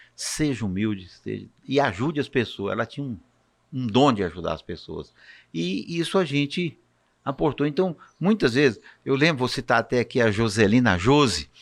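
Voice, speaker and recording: Here a man at medium pitch speaks at a moderate pace, with vocal fry. His pitch swings very widely. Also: very clean recording, silent background. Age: 60s. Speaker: physician. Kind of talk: casual chat.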